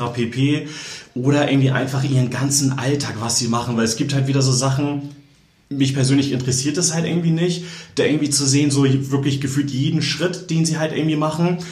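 With noticeable background noise and audible room echo, a man talks at a very even loudness, his pitch fairly high and his intonation fairly even. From northern Germany, Kiel. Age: 20s. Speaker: fashion blogger. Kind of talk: interview. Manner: hesitant, many filler sounds.

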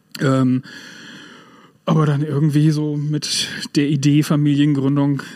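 A man at a fairly high pitch and a fairly slow pace, with noticeable background noise. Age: 40s. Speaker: music club volunteer and furniture salesman. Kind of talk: casual interview.

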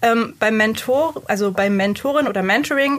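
A woman is the speaker. She talks at a fairly high pitch. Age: 20s. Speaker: mentor and workshop trainer. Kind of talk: interview.

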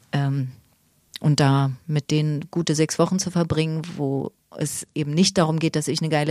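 In a very clean recording with a silent background, a woman speaks with a very deep, low pitch, a dark, mellow tone and fairly even intonation. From Berlin (Weißensee), eastern Germany. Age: 50s. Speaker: stage actor and drama teacher. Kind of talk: casual interview chat.

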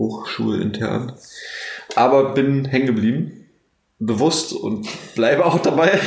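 There is audible room echo around the man's voice. His pitch varies in an ordinary way. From Brandenburg, Germany (Neuruppin). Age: 20s. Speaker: university student. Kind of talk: casual chat.

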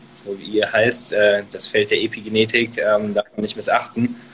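Amid noticeable background noise, a man of medium pitch speaks at a moderate pace with monotone, flat intonation. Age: 20s. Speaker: author and medical student. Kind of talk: casual interview. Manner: many filler words.

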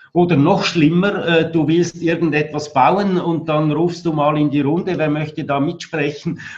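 Over noticeable background noise, a man speaks fairly slowly with hardly any pauses, his fairly high voice flat and monotone. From Switzerland. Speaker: architect and building exhibition director. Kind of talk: interview.

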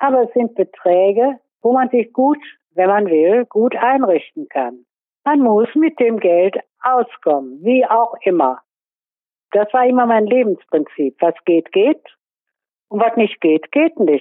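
Speaking at a very slow pace with long, frequent pauses, a woman uses a fairly high pitch and very wide pitch swings. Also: very even loudness. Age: 80s+. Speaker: pensioner on basic income support. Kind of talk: testimony.

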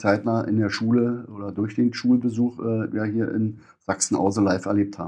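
Dark and mellow in tone, a man with a fairly low pitch speaks at a moderate pace and with fairly even intonation. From Brandenburg, near Berlin. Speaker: business owner and chamber of commerce president. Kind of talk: interview. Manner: halting.

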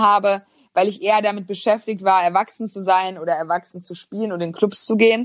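Here a woman has a plain, everyday voice with ordinary pitch variation. She speaks at a fairly quick pace. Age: 20s. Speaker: business journalist and author. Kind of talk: casual interview.

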